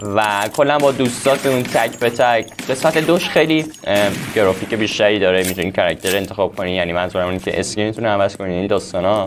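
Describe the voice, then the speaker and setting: With music in the background, a man with a fairly low voice speaks at a very fast pace with lively intonation. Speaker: gaming youtuber. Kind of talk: gaming commentary. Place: home room.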